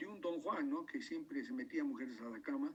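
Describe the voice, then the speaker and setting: A man's extremely high voice at a fairly quick pace, full of lively intonation. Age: 60s. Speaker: doctor giving a talk. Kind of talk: lecture. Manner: halting, many repetitions and fillers.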